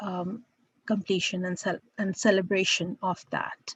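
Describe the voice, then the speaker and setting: In a dry, close recording with no echo, a woman with a medium-pitched, somewhat breathy voice speaks at a fairly slow pace. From India. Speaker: professor. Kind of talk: lecture.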